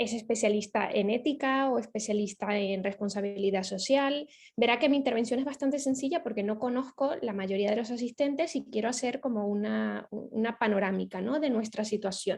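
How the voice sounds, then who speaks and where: Hardly pausing, a woman talks at a fairly quick pace with a fairly high pitch and ordinary pitch variation. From Venezuela. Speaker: ethics foundation project manager. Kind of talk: lecture. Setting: video call. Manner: hesitant, many fillers.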